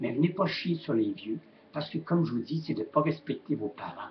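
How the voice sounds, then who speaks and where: A man's fairly high-pitched voice with lively intonation in a Quebec accent. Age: 70s. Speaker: retired shop owner vlogger. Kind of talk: webcam rant. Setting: webcam at home. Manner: animated.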